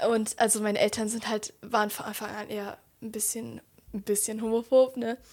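Here a woman speaks at a fairly quick pace with a fairly high pitch. Her intonation is monotone and flat, while her loudness swings widely. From Germany. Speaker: podcast guest. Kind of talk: casual chat.

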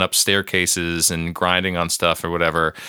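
With a dry, close sound and no echo, a man talks at a fairly slow pace in a very deep, low pitch. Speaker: podcast co-host. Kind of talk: casual chat.

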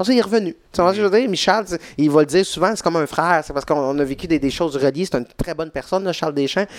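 A man at a very fast pace with lively intonation. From Quebec, Saint-Jean-sur-Richelieu. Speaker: stand-up comedian. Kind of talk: casual chat.

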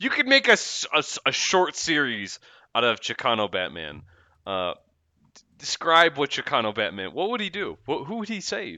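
A man with vocal fry speaks at a fairly high pitch, swinging his pitch very widely. He leaves long, frequent pauses. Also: moderate pace. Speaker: music review podcast co-host. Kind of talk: casual chat. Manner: animated.

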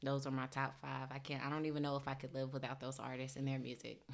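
Speaking in an American accent, a woman has a very deep, low pitch. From US South, Clayton County, Georgia (metro Atlanta). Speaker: home decor business owner. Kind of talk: interview.

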